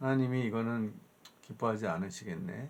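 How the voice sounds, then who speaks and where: Here a man speaks at a moderate pace. The recording is very clean, with a silent background. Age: 60s. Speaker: professor. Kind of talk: lecture. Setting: recorded video lecture. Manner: conversational, with fillers.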